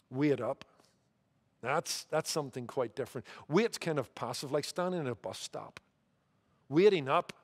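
With a Northern Irish accent, a man speaks at a fairly high pitch with lively intonation and long, frequent pauses against a quiet background. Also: moderate pace. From Northern Ireland. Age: 50s. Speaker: pastor. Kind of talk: sermon. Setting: church. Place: church. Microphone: headset.

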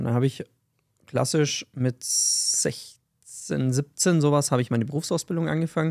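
Against a quiet background, a man speaks at a fairly quick pace in a dark, mellow tone, his loudness very even and his pitch variation ordinary. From Bavaria, Fürstenfeldbruck near Munich; Bavaria. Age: 30s. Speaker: podcast co-host, sales entrepreneur; podcast host. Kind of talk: casual chat. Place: office. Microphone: studio mic.

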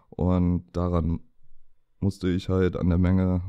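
A dark, mellow tone comes through over a quiet background. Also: man. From Hannover, northern Germany. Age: 20s. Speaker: Crohn's patient and young doctor. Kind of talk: personal testimony in interview. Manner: hesitant, many filler sounds.

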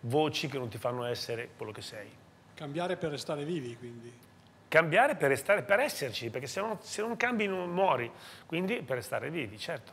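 Fairly quick pace, very wide pitch swings and big swings in loudness over light background noise. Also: man. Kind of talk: interview answer. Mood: reflective, warm. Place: bar. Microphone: lapel.

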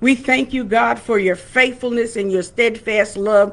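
Female voice with ordinary pitch variation at a moderate pace. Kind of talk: sermon and prayer. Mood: calm, devotional. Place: home room. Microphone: webcam.

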